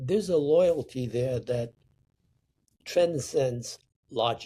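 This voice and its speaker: A man talks at a very slow pace in a dark, mellow tone that is somewhat breathy. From Sicily, Italy. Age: 80s+. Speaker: painter. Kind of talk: interview answer.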